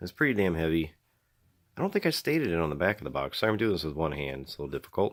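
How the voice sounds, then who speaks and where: A man talks at a very fast pace in a very deep, low voice with vocal fry. The recording is very clean, with a silent background. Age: 30s. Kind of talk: casual unboxing talk to camera.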